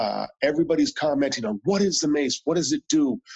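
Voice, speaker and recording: A man at a moderate pace with ordinary pitch variation, over a quiet background. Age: 60s. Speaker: mace fitness instructor. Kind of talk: interview answer. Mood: cheerful storytelling. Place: home room.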